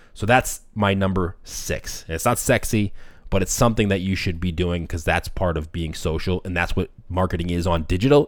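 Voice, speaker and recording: The speech comes at a fairly quick pace in a very clean recording with a silent background. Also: man. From Boston, US. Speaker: podcast host, restaurant marketing agency owner. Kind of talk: solo podcast tutorial. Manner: fast.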